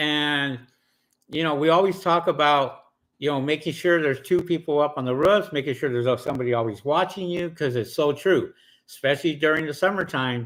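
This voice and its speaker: A plain, everyday voice from a man, fairly high in pitch, at a fairly quick pace with ordinary pitch variation. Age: 50s. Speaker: solar panel cleaning business owner. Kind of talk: live stream chat.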